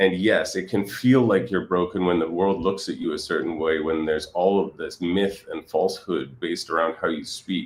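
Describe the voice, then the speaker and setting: Hardly pausing at all, a man talks at a moderate pace. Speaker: stuttering coach. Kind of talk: interview answer.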